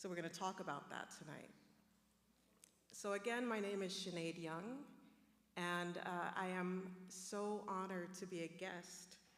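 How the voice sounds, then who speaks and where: A woman talks at a fairly slow pace with fairly even intonation and long, frequent pauses. Audible room echo surrounds her voice. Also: medium pitch for a woman. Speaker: professor and panel moderator. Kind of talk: panel discussion moderation. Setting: stage with live audience. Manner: warm, conversational.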